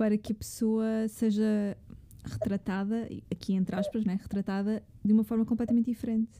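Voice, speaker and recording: At a moderate pace, a woman speaks with a dark, mellow tone, fairly high pitch, some breathiness, and monotone, flat intonation. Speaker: podcast host. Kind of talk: casual interview; scripted narration.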